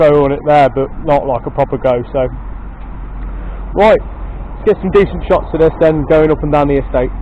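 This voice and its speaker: Someone with an English accent speaks at a fairly quick pace over noticeable background noise. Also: man. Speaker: motorcycle video channel host. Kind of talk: casual vlog commentary. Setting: outdoors at workplace estate. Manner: loud, shouting; hesitant, many fillers. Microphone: poor microphone sound.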